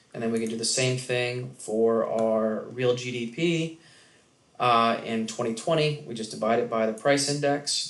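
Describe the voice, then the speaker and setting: Audible room echo surrounds a man whose medium-pitched voice keeps a fairly even intonation. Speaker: economics instructor. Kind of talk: lecture. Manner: loud.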